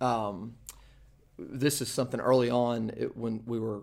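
This man has a medium-pitched voice with fairly even intonation and a Southern US accent. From eastern North Carolina (Kinston). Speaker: church planter, former campus ministry director. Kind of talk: interview testimony.

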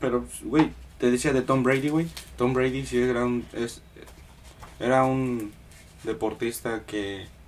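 Over noticeable background noise, a man speaks very slowly at a medium pitch with fairly even intonation and long, frequent pauses. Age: 20s. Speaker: podcast host. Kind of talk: casual chat.

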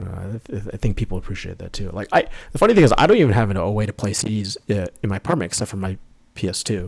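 Talking at a very fast pace with big swings in loudness, a man with an American accent has a fairly low, somewhat breathy voice. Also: ordinary pitch variation. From New York State, north of the city. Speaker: musician, video game music composer. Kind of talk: casual interview chat.

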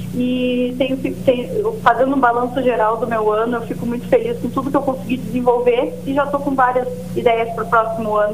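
With hardly any pauses, the speaker moves at a fairly quick pace and with fairly even intonation, amid noticeable background noise and audible room echo. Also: woman, high pitch for a woman. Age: 20s. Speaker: local politician and farmer. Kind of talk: interview.

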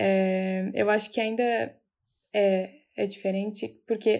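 A woman speaks with a monotone, flat intonation. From Rio Grande do Sul, Brazil (Osório). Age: 20s. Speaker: psychology student, podcast co-host. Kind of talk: casual chat. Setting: remote recording.

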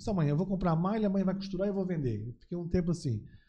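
This man's voice sits high in pitch and has a dark, mellow tone. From Santa Catarina, Brazil (Blumenau/Gaspar). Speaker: businessman, TV producer. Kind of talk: casual interview chat.

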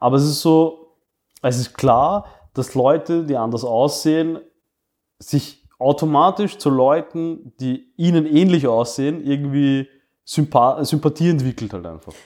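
A man's fairly high voice with ordinary pitch variation at a very slow pace, in a very clean recording with a silent background. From Austria, migrant family. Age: 30s. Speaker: podcast co-host. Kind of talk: casual chat.

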